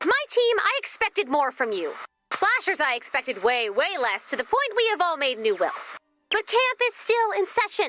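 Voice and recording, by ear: A woman's put-on character voice at a moderate pace, high in pitch with big pitch swings and a bright, sharp tone, dry and close with no echo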